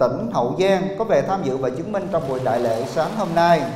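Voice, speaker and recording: With audible room echo and light background noise, a man speaks in very wide pitch swings. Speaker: ceremony emcee. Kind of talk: formal ceremonial announcement. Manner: formal. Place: hall. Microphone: handheld.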